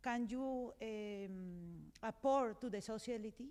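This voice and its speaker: A woman's fairly high-pitched voice with a Colombian accent. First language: Spanish. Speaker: digital marketing professional on a panel. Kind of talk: panel discussion. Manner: halting, searching for words.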